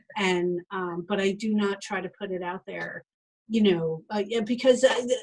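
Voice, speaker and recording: With an American accent, a woman speaks at a medium pitch and a moderate pace. Her intonation stays fairly even while her loudness swings widely. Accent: Boston accent when angry. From Boston. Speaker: podcast host and publisher. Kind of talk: casual chat. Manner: halting.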